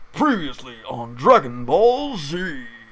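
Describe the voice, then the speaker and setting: Using a put-on character voice, a man speaks fairly slowly at a fairly high pitch. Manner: dramatic trailer-style narration.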